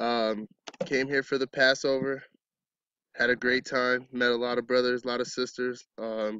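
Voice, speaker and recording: A man speaks with an American accent. His intonation is monotone and flat. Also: quiet background, dry sound with no echo. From Arizona. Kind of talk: testimony. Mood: calm, reflective. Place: open country. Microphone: phone near.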